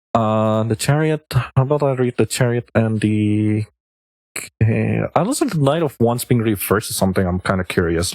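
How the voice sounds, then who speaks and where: A man with a non-native accent and fairly low pitch, at a moderate pace with ordinary pitch variation and very even loudness, in a dry, close sound with no echo. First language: not English. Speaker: streamer, tarot reader. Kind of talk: live stream tarot reading. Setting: live stream. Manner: casual, thinking aloud.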